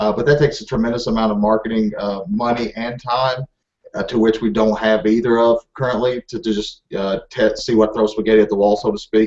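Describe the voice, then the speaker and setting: This man speaks with a Southern US accent. His pace is very fast. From Kentucky. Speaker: Amazon seller. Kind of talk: interview.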